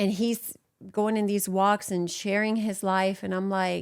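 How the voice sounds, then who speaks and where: A woman with a Puerto Rican accent at a moderate pace, in a very clean recording with a silent background. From Puerto Rico. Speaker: church abuse survivor. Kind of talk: testimony.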